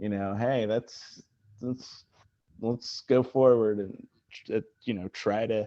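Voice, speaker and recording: Very slowly and with long, frequent pauses, a man of medium pitch speaks in a monotone, flat intonation with an American accent. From Mississippi (Oxford). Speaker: actor and comedian. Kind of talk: casual chat. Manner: halting.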